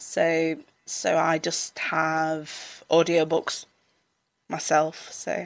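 In a Yorkshire accent, a woman speaks at a very slow pace with monotone, flat intonation on a very clean recording with a silent background. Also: fairly low pitch for a woman. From Sheffield, South Yorkshire. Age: 30s. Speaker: mental health support worker. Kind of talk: personal testimony in interview. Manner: halting, many repetitions and fillers.

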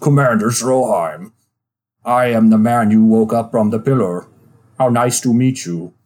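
A man in a put-on character voice, medium in pitch, at a moderate pace. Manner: polite, formal.

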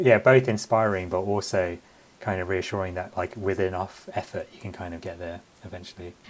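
A man talks with a London accent. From London, England. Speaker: comedian and writer. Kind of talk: interview.

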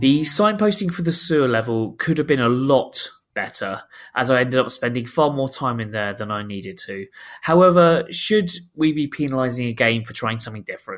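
A man speaks fairly quickly at a medium pitch with lively intonation. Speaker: video game podcast co-host. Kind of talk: casual chat. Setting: remote call.

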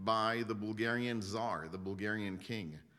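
Audible room echo surrounds a man speaking at a very slow pace and medium pitch. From Israel. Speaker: guest speaker sharing testimony. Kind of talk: testimony.

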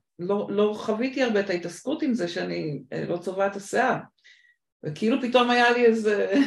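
With an English accent, a woman speaks at a fairly quick pace. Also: medium pitch for a woman, lively intonation. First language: English (speaking Hebrew). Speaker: podcast host, recruitment consultant. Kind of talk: interview (being interviewed).

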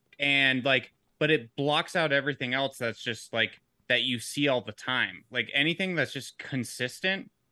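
Speaking at a moderate pace with an American accent, a man has a fairly high pitch and ordinary pitch variation. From Georgia, US South. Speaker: guest podcast co-host. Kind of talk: casual banter, comedy podcast. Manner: profane, animated.

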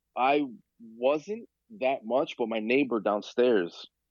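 A man with a New York accent, at a fairly slow pace. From New York, Queens. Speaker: figure photographer and DJ. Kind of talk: casual chat.

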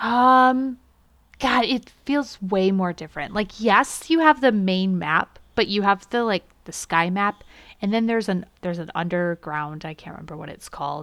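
Heard in a very clean recording with a silent background, a woman with an unremarkable speaking voice talks at a moderate pace with lively intonation and big swings in loudness. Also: medium pitch for a woman. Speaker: podcast host. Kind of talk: casual podcast chat.

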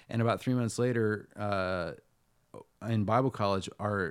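A plain, everyday voice has ordinary pitch variation and a moderate pace. The background is silent and the recording very clean. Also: man. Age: 40s. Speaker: singer-songwriter and author. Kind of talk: casual chat.

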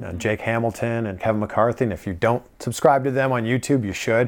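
On a very clean recording with a silent background, a man with a plain, everyday voice and a medium pitch speaks at a fairly quick pace. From Canada (Toronto). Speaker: TV entertainment reporter. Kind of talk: casual interview chat. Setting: in person in Los Angeles.

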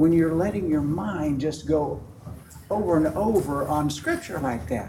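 Over noticeable background noise, a man with a fairly high pitch talks at a moderate pace, his pitch swinging very widely. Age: 70s. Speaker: small group leader. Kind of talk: conference workshop talk. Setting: conference room with audience.

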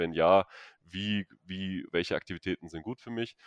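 Very deep and low in pitch, a man speaks at a moderate pace with fairly even intonation. The sound is dry and close with no echo, over a quiet background. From Stuttgart, southwest Germany. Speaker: physiotherapist and doctor. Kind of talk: interview.

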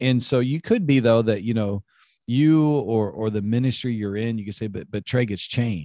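A man's dark, mellow tone comes through on a very clean recording with a silent background and a dry, close sound with no echo. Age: 40s. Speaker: pastor. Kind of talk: casual chat.

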